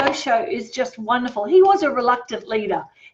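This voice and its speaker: There is noticeable background noise as a woman speaks at a moderate pace in a high pitch. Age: 60s. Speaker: tarot reader. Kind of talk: live-stream tarot reading and motivational talk. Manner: animated; casual.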